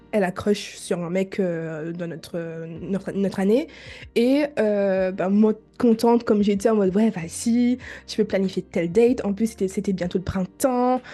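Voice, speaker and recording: With a dark, mellow tone, a woman at medium pitch speaks at a fairly slow pace with ordinary pitch variation. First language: not French (speaking French). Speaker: podcast host. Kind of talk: monologue to listeners; casual chat. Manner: halting.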